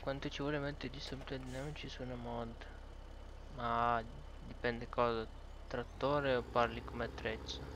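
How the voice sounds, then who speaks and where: With audible echo in the room, a man talks at a moderate pace, leaving long, frequent pauses. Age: 20s. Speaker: gaming streamer. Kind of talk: casual chat.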